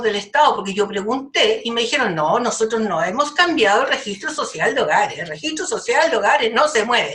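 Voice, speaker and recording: Her pitch high and swinging very widely, a woman talks at a moderate speed. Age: 70s. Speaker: community activist. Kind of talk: podcast discussion. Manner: animated.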